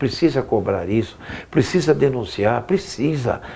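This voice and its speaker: A man's mid-range voice carries over clearly audible background noise. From Brazil, Osasco (São Paulo). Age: 70s. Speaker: city councillor. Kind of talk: interview.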